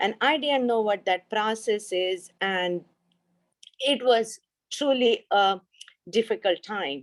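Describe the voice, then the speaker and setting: A woman with an Indian accent, fairly high pitch and lively intonation at a very slow pace, with long, frequent pauses. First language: an Indian language. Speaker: pharmaceutical research scientist. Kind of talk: panel discussion. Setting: video call. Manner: hesitant, many fillers.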